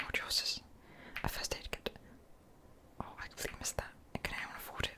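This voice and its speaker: Whispering over noticeable background noise. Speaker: ASMR creator playing a visual novel. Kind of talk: whispered game playthrough reading dialogue.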